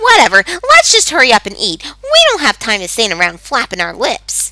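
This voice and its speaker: A put-on character voice, fairly high in pitch and at a fairly quick pace. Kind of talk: curt, commanding. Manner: angry, barking, gruff.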